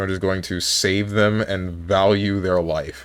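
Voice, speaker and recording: A man with a fairly low pitch and an ordinary speaking voice talks at a fairly slow pace. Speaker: gaming streamer. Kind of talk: live stream commentary.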